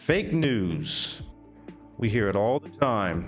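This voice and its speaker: A man talks at a medium pitch with lively intonation. Music runs in the background. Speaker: VTuber news commentary host. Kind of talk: comedic news commentary to camera.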